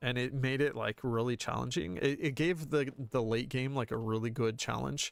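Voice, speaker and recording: The man's voice sits at a medium pitch, captured in a very clean recording with a silent background. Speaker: video game streamer. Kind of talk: live gameplay commentary. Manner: fast; halting, repeats words.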